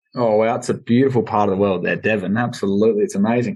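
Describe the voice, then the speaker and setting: The background is quiet. A man speaks with an Australian accent. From South Australia, Adelaide Hills. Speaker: podcast host. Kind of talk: casual roundtable chat.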